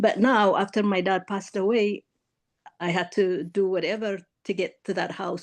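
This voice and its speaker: With an East African accent, a woman speaks at a medium pitch and a moderate pace against a quiet background. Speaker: caller seeking reading. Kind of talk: casual conversation. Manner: halting.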